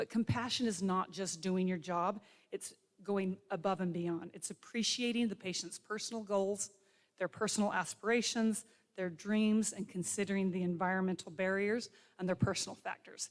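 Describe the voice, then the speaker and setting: Delivered at a moderate tempo, an unremarkable speaking voice keeps its intonation fairly even. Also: woman, medium pitch for a woman. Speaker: physical therapy faculty speaker. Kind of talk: ceremony speech.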